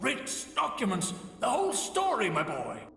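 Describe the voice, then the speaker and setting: Putting on a character voice, a man speaks high-pitched at a moderate pace, with clear echo around him. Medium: game stream. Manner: folksy, colloquial, teasing.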